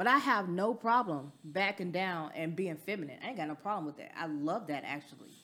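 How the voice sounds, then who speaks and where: A woman's normal speaking voice with an American accent, fairly low in pitch, lively in intonation and at a moderate pace, on a very clean recording with a silent background. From US South. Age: 40s. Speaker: business owner. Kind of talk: casual chat.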